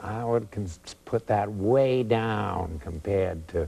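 A fairly low-voiced man with an American accent talks at a very slow pace with ordinary pitch variation. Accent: Boston Brahmin, old upper-class Boston. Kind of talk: casual conversation.

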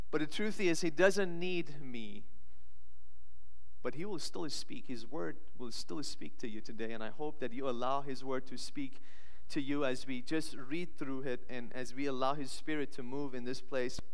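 A man talks at a moderate pace with ordinary pitch variation. His loudness stays very even. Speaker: pastor. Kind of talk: sermon. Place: church. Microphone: headset.

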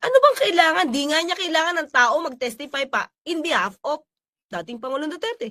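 A woman's raised, projected voice at an extremely high pitch, bright and sharp in tone, fairly quick, with very wide pitch swings and big swings in loudness. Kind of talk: commentary.

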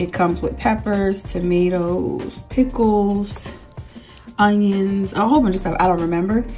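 A woman is speaking. Faint music sits in the background. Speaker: food vlogger. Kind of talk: casual vlog chat. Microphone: phone near.

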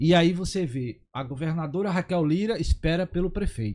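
The speech moves at a moderate pace with ordinary pitch variation. The recording is very clean, the background silent. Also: man. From interior of Pernambuco, Brazil. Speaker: municipal guards association president. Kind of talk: talk show interview. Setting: studio.

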